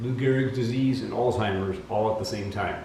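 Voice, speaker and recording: A man talks with ordinary pitch variation. Audible room echo and noticeable background noise surround his voice. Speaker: vlogger with a genetic disease. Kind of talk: casual vlog monologue. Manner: hesitant, many fillers.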